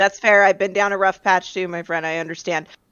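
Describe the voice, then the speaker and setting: In a raspy, put-on character voice, a woman speaks at a fairly quick pace, at a medium pitch and with fairly even intonation. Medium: actual play. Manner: casual, chatty.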